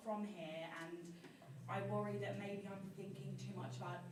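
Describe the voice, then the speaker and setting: A woman speaks at a moderate pace with a fairly low pitch, with noticeable background noise and audible room echo. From Australia. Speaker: student, audience member. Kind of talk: audience question. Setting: audience at panel, no microphone. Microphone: no microphone.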